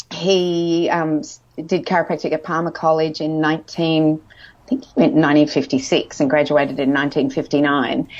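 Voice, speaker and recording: This woman has a very deep, low pitch. She speaks with an Australian accent. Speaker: nutritionist. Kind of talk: interview. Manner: casual, hesitant with fillers.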